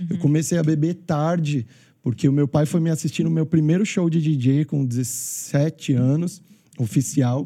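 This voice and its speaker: A man speaks in a somewhat breathy, dark, mellow tone with a fairly high pitch. His pace is fairly slow, with ordinary pitch variation. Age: 30s. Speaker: wedding DJ. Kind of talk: testimony. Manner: animated.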